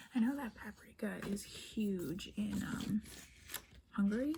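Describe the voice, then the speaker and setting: A woman whispers. Her pace is fairly slow. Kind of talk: ASMR unboxing, soft-spoken talk to camera. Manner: soft-spoken, whispery.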